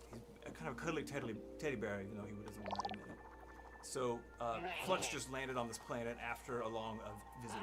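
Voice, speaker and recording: Music plays in the background as a soft-spoken man talks at a fairly quick pace. Room echo is audible. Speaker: indie game developer. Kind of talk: live game demo. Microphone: too quiet at first, gain raised.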